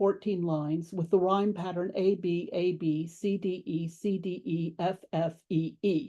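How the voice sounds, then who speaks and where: Over a quiet background, a woman of medium pitch speaks in an American accent with a dark, mellow tone. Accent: American, strong rhotic R. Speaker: classics professor. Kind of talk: lecture. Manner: formal.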